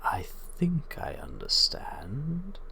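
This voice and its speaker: The delivery is very slow. It comes in a put-on character voice. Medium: actual play. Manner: formal, measured, stiffly literal.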